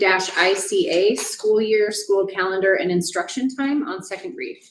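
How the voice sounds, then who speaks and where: A woman speaks at a moderate pace. Noticeable background noise runs through the clip. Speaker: school board member. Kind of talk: board meeting.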